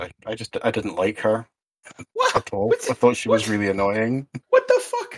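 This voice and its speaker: In a Scottish accent, a man speaks at a fairly quick pace. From Scotland. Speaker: podcast co-host. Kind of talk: casual chat podcast.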